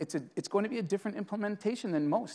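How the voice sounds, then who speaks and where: The speaker has a Boston accent, heard against a quiet background. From Boston area, US. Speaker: IT executive, customer. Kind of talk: interview at conference. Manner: hesitant, with fillers.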